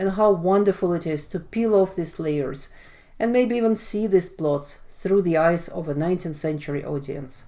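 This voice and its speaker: In a Russian accent, a woman talks at a moderate pace with a medium pitch, a dark, mellow tone and lively intonation. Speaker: literature video blogger. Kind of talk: educational monologue. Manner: casual and relaxed.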